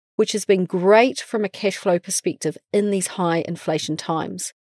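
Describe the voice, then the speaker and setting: In a New Zealand accent, a voice with a dark, mellow tone talks at a moderate pace on a very clean recording with a silent background and a dry, close sound with no echo. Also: woman. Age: 40s. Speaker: podcast host. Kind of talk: scripted narration; casual chat.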